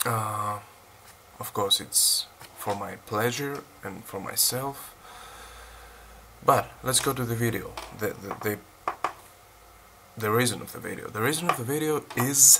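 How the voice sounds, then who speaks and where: Long, frequent pauses break up a man's medium-pitched speech, which has ordinary pitch variation over noticeable background noise. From Greece. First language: Greek. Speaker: fitness vlogger. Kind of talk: casual vlog unboxing. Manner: halting, many fillers.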